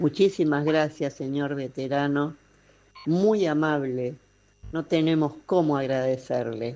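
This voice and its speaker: A woman speaks very slowly in a very deep, low pitch with a dark, mellow tone. Her pitch varies in an ordinary way. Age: 70s. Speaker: caller. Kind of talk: recorded listener message. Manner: formal.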